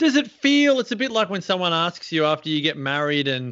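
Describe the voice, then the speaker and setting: With an Australian accent, a man speaks in a high pitch that swings very widely, against a quiet background. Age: 40s. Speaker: podcast host. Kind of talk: interview. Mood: warm, curious. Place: home room.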